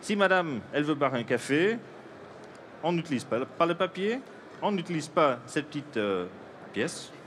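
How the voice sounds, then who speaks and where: A man's fairly high voice with vocal fry, very wide pitch swings, a moderate pace and long, frequent pauses. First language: Dutch (speaking French). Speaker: coffee roaster and inventor. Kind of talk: product demonstration. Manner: halting, many hesitations.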